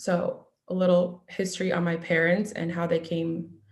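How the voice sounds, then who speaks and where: A woman's fairly low voice with vocal fry. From US Northeast, Needham, Massachusetts. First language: Russian. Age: 20s. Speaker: nurse. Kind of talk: talk to an online audience. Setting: video call. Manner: halting, many ums.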